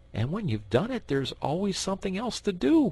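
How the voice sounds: A natural reading voice, nothing more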